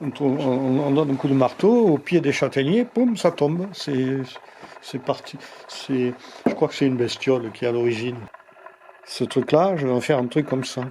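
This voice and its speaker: Over noticeable background noise, a man with a fairly high voice speaks at a moderate pace with ordinary pitch variation and long, frequent pauses. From Lozère, France. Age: 70s. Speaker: sculptor. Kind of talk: interview answer. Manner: hesitant.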